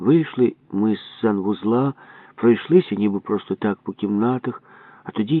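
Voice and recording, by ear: A read-aloud passage in a natural voice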